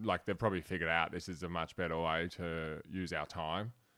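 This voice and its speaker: Fairly quick, bright and sharp speech with a strong Australian accent, on a very clean recording with a silent background. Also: man. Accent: broad Australian. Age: 30s. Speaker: comedian. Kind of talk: casual chat.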